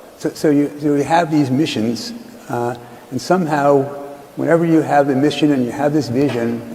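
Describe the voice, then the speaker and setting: Amid noticeable background noise, a man with a fairly high pitch and ordinary pitch variation speaks at a moderate pace. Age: 70s. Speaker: investor and interviewer. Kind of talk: interview.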